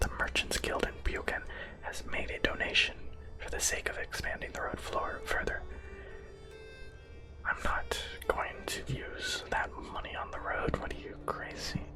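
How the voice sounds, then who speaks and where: Someone whispers at a fairly slow pace, leaving long, frequent pauses. Music plays in the background. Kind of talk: ASMR gaming let's play. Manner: whispered, soft.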